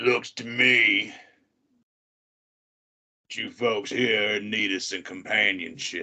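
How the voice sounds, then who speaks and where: In a put-on character voice, the speech comes at a very slow pace with long, frequent pauses. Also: man, fairly low pitch for a man. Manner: folksy, leaning back, cheeky.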